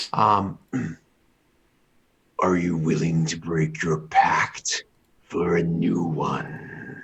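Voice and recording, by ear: Using a put-on character voice, a man delivers very deep, low, raspy, rumbling speech at a very slow pace with long, frequent pauses.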